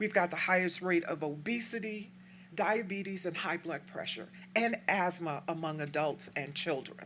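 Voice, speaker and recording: A woman with an American accent, fairly low in pitch, at a moderate pace with ordinary pitch variation and audible room echo. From Texas, El Paso. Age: 60s. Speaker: community activist speaker. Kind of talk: lecture. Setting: stage with audience.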